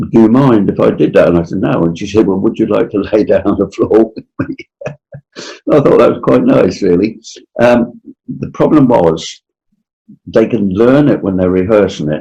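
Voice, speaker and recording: Speaking at a moderate pace, a man with a fairly low pitch and dark, mellow tone uses lively intonation and takes long, frequent pauses. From Norfolk, England. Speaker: dialect coach. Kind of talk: anecdotal storytelling. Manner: hesitant, with fillers.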